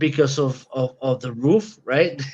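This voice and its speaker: Spoken at a very slow pace in a Spanish accent, the voice shows ordinary pitch variation. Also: man. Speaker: podcast co-host. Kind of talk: casual chat. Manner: animated.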